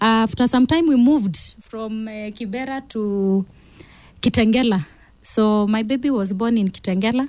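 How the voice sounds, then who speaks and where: In a very clean recording with a silent background, a woman with a Kenyan accent talks at a moderate pace in a fairly high pitch with ordinary pitch variation. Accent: Kenyan English, Kamba. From Kitui, Kenya. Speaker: pastor. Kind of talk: interview, testimony. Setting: studio. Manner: animated, laughs often.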